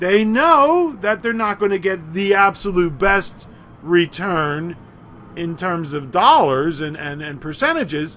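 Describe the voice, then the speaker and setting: Speaking with a Philadelphia accent, a man uses a high pitch and a bright, sharp tone, with big swings in loudness. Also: lively intonation, fairly slow pace. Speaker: college instructor. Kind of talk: lecture. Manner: animated.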